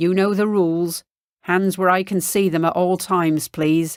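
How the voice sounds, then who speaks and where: In a put-on character voice, a woman sounds gruff at a medium pitch, with monotone, flat intonation, very even loudness and a moderate pace, on a very clean recording with a silent background. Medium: read story.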